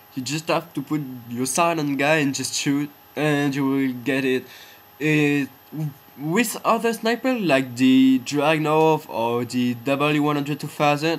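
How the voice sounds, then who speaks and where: A man with a non-native accent, fairly high pitch, ordinary pitch variation and a fairly slow pace. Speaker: gamer. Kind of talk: game tutorial voiceover. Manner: hesitant, filler-heavy.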